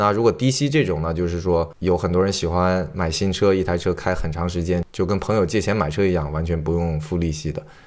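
On a very clean recording with a silent background, a man with a very deep, low pitch speaks at a fairly quick pace with ordinary pitch variation and hardly any pauses. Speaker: car dealer and auto channel host. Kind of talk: tutorial. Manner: casual conversational.

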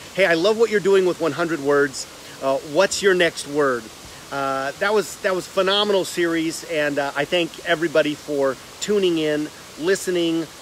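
A man's high-pitched voice at a moderate pace, with ordinary pitch variation, a dry sound with no echo and light background noise. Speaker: online host. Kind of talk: casual livestream vlog chat. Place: garden. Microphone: phone near.

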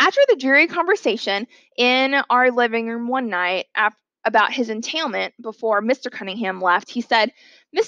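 A natural reading voice with lively intonation, set against a quiet background

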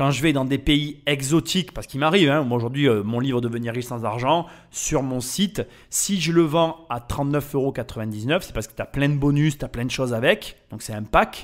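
A man with a fairly high pitch speaks in an animated tone at a moderate pace. His pitch varies in an ordinary way while his loudness swings widely. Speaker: podcast host. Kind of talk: casual narration.

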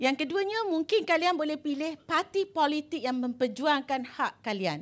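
A woman speaks at a fairly slow pace. Her pitch swings very widely. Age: 50s. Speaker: law professor. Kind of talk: public talk to students. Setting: stage with audience. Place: hall. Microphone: handheld.

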